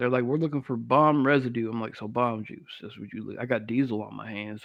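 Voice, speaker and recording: Talking at a very fast pace with a Southern US accent, a man keeps a medium pitch and fairly even intonation while his loudness swings widely. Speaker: podcast host. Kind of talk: casual interview chat.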